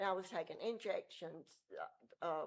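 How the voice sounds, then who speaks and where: A woman is speaking. She has a Mississippi accent. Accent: US Southern (Mississippi). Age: old. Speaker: member of the public speaking at meeting. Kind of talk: public comment. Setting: city council meeting. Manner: halting.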